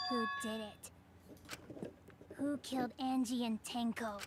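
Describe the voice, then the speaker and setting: A woman's put-on character voice, fairly high in pitch and very slow, over clear background noise. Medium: video game.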